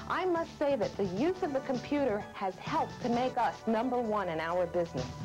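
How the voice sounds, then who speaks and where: A woman talks at a fairly quick pace with very wide pitch swings while music plays in the background. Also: very even loudness. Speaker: real estate office owner. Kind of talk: customer testimonial.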